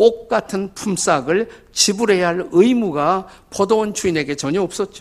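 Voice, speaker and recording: A man at a fairly slow pace with lively intonation. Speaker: pastor. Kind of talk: sermon. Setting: church. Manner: animated storytelling.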